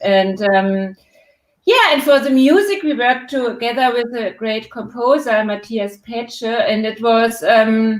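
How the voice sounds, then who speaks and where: Pitched fairly high, a woman talks with a strong German accent. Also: ordinary pitch variation, fairly slow pace. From Germany. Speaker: documentary filmmaker. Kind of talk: live Q&A interview. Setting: online live stream. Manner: hesitant, many fillers.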